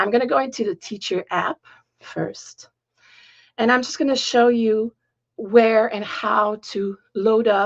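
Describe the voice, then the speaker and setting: A woman with a French accent speaks very slowly at a fairly high pitch, recorded with a dry, close sound and no echo. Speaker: piano teacher. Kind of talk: tutorial. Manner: halting, searching for words.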